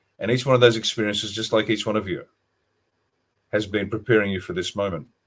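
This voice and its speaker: Very fast male speech in an Australian accent, fairly low in pitch, with ordinary pitch variation. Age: 60s. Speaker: retired army officer and author. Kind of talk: interview on a livestream.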